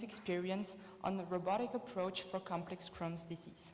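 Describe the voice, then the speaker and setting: Someone speaks with a French accent at a moderate pace. The room echo is audible, and background noise is noticeable. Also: woman. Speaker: colorectal surgeon. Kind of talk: conference presentation.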